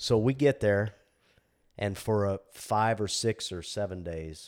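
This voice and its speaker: On a very clean recording with a silent background, a man with a fairly low pitch uses a plain, everyday voice and ordinary pitch variation. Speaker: fire captain. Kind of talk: casual chat.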